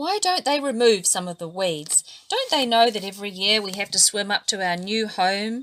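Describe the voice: Lively intonation in plain reading aloud.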